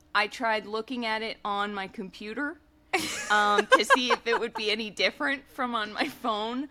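Over noticeable background noise, a woman speaks at a moderate pace. Her pitch is fairly high, with fairly even intonation. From New England. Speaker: sports podcast co-host. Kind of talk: casual chat.

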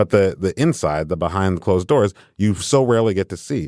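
In a very clean recording with a silent background, a man speaks at a fairly quick pace with lively intonation, the sound dry and close with no echo. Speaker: culture critic and staff writer. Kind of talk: casual chat.

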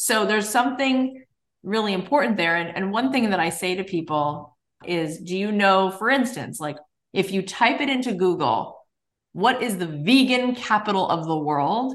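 An American-accented woman speaks at medium pitch and a moderate pace. Her tone is animated, with lively intonation. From US South, South Florida. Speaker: business coach and podcaster. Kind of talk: casual interview chat.

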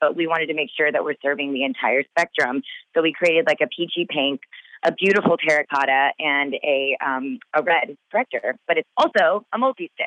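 Speaking at a fairly quick pace, a woman uses lively intonation in a very deep, low pitch. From Texas. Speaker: beauty brand founder. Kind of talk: casual chat. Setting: phone call. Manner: animated.

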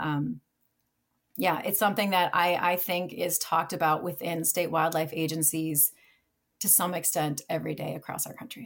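In an American accent, a woman speaks at a moderate pace with a fairly low pitch and ordinary pitch variation. The recording is very clean, with a silent background. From Minnesota, US Upper Midwest. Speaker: wildlife veterinarian and state wildlife manager. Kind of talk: interview conversation.

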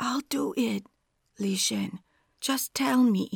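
This put-on character voice is shaky and sits at a middle pitch, moving at a very slow pace. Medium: read story. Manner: trembling, desperate.

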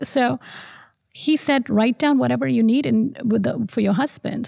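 A woman's fairly high voice with very wide pitch swings at a moderate pace, on a very clean recording with a silent background. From South India (Madurai). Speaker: pediatrician. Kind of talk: testimony. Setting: church.

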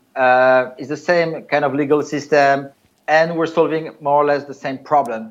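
This man has a plain, everyday voice with a fairly high pitch. His intonation is fairly even and his pace moderate. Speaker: startup co-founder. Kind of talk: business interview.

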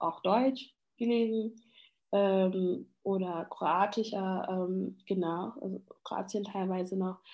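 A woman with a Congolese accent at medium pitch, very slow pace and fairly even intonation, on a very clean recording with a silent background. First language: Lingala (speaking German). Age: 20s. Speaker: after-school educator. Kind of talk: interview. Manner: hesitant with many fillers.

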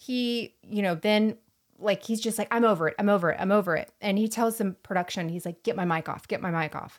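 A woman speaks in a plain, everyday voice at medium pitch with ordinary pitch variation. Her pace is fairly quick, and the recording is very clean with a silent background. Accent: American. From US Gulf Coast (Florida Panhandle). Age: 30s. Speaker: podcast co-host. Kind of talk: casual chat.

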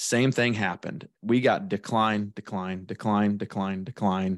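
A man with a Midwestern American accent, a fairly low pitch, and fairly even intonation against a quiet background. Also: dry, close sound with no echo. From central Illinois. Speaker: independent insurance agent. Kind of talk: casual interview.

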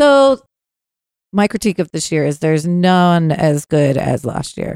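With an American accent, a woman speaks in an unremarkable speaking voice at a fairly low pitch and fairly slow pace, the sound dry and close with no echo. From US, Northern Virginia. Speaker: podcast co-host. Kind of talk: casual chat.

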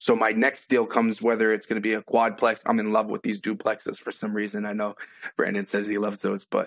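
In a normal speaking voice with an American accent, a man talks fairly quickly at a medium pitch on a very clean recording with a silent background. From Massachusetts. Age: 20s. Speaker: new real estate investor. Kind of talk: live coaching call.

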